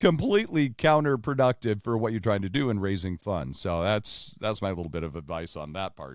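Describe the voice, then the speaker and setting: Talking at a fairly quick pace with hardly any pauses, a man with a fairly low pitch makes very wide pitch swings. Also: very clean recording, silent background. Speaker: podcast host. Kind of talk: casual podcast conversation.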